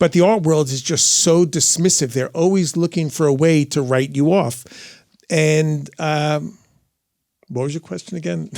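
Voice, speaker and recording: The man's fairly high pitch shifts with ordinary variation as he talks at a moderate pace. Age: 60s. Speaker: art dealer and writer. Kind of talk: live podcast interview answer. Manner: energetic, candid.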